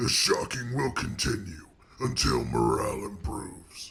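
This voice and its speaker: Using a put-on character voice at a fairly low pitch, a man speaks at a moderate pace. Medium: machinima. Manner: curt, dismissive.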